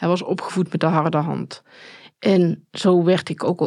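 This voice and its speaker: A woman speaks in a fairly low voice at a moderate pace. Her intonation is monotone and flat. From Netherlands, Tilburg area (North Brabant). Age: 40s. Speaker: survivor and perpetrator of domestic violence. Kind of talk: personal testimony interview. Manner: halting, many hesitations.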